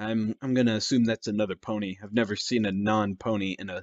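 This plain reading aloud has fairly even intonation.

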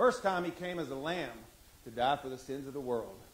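A man talks at a moderate pace. There is light background noise. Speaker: preacher. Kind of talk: sermon. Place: church. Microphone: handheld.

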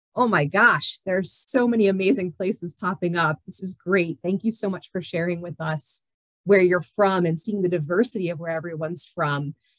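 A woman's fairly low voice at a moderate pace, with ordinary pitch variation, big swings in loudness, dry sound with no echo and a quiet background. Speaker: university retention executive. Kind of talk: webinar presentation. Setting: video call. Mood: warm, enthusiastic. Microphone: video call.

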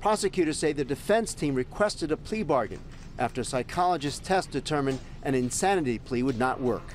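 Music plays in the background as a man talks at a very fast pace. His pitch is fairly high and his intonation lively. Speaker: TV news reporter. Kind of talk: TV news report.

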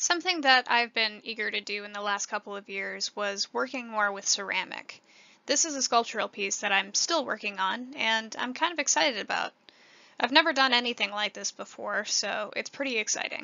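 A woman with an American accent and an unremarkable speaking voice speaks at a fairly high pitch, at a fairly quick pace, with lively intonation. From rural northwestern Illinois, US Midwest. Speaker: art student. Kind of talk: scripted presentation.

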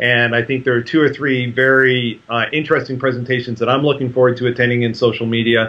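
A man speaks at a fast pace in a medium pitch. His pitch moves very little.

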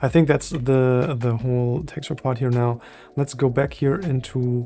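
A man speaks at a very slow pace with fairly even intonation. Faint music plays in the background. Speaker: 3D software tutor. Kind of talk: tutorial.

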